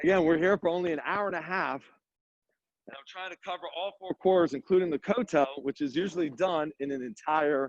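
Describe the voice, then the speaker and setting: A man with a high pitch talks at a fairly quick pace in an animated tone, with ordinary pitch variation, big swings in loudness, and a dry, close sound with no echo. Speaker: tour guide. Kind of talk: guided walking tour. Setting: outdoors. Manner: fast.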